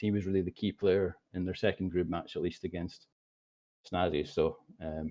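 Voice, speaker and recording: This man talks with a Scottish accent. He moves along fairly quickly. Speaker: esports commentator. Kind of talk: live commentary. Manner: fast.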